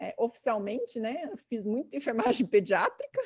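A woman's high voice at a moderate pace. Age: 40s. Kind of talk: casual chat.

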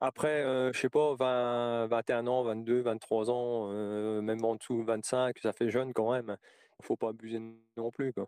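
In a dry, close sound with no echo, a man speaks very slowly at a medium pitch with monotone, flat intonation. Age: 40s. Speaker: interviewee sharing personal story. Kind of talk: testimony. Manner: halting.

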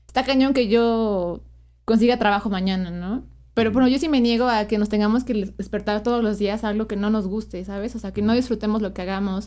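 A woman with a Mexican accent speaks fairly quickly in a fairly high pitch. Her tone is dark and mellow, her intonation fairly even. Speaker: podcast co-host. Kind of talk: casual chat.

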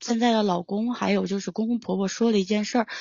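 A woman with a medium pitch and fairly even intonation has an ordinary speaking voice. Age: 20s. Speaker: caller. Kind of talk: personal account.

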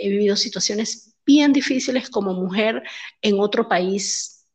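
A woman speaks in a plain, everyday voice. Her pitch is medium and her pace fairly quick. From Venezuela, Maracaibo. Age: 40s. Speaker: entrepreneur. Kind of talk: interview.

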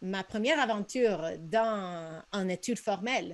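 With a Spanish-speaking accent, a woman speaks at medium pitch and a fairly slow pace on a very clean recording with a silent background. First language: Spanish (speaking French). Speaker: missionary and podcast co-host. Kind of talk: casual chat. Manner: halting, frequent repetitions.

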